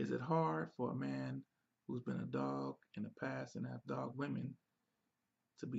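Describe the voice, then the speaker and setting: Soft-spoken, a man talks at a fairly slow pace. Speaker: relationship advice show co-host. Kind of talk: casual Q&A chat.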